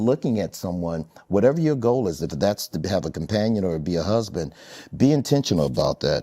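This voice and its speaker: A man speaks at a fairly quick pace with lively intonation and a fairly low pitch, his tone dark and mellow, on a very clean recording with a silent background. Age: 60s. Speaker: relationship speaker, married man and author. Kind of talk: panel discussion.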